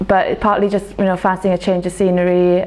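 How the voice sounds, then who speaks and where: Woman with a South Wales accent, fairly low-pitched, at a very fast pace amid noticeable background noise. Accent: South Wales (Welsh English). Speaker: medical graduate, doctor. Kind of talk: interview answer.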